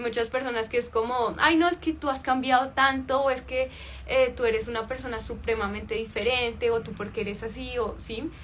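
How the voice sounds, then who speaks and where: In a high pitch with fairly even intonation, a woman talks at a fairly quick pace. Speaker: life coach. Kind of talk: livestream talk.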